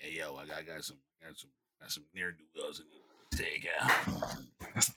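A gruff, raspy put-on character voice drags along at a very slow pace. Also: man, very deep, low pitch for a man. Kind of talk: street slang.

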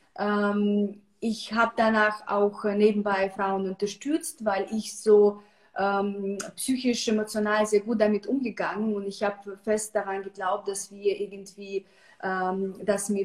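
A woman speaks with a Russian accent at medium pitch. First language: Russian (speaking German). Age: 30s. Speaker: psychological counselor, cancer survivor. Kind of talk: casual online interview.

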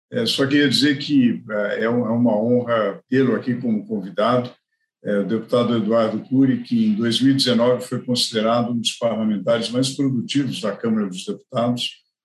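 The man speaks at a medium pitch and a moderate pace. His intonation is fairly even. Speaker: economist and podcast host. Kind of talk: interview. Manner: halting.

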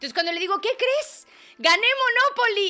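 Raised and projected, a woman's voice moves at a fairly quick pace with an animated tone. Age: 30s. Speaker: wellness podcast host. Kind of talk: casual solo monologue.

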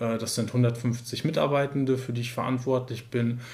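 Medium-pitched, somewhat breathy male speech amid audible room echo. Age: 30s. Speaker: care services manager, trained nurse. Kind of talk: interview. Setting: in person, sitting together.

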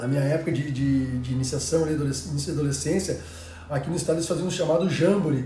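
Talking at a very fast pace with a fairly high pitch and ordinary pitch variation, a man is heard with audible room echo. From Rio Grande do Sul, Brazil (Cachoeira do Sul). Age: 40s. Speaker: former professional basketball player. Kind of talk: casual interview chat.

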